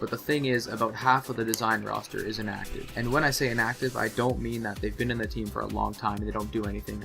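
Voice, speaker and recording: Very fast speech plays over music in the background. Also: man. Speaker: gaming clan designer. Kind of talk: gaming commentary. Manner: casual, candid.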